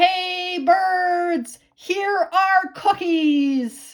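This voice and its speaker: A put-on character voice, loud and shouting. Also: woman, extremely high pitch for a woman. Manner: loud shout.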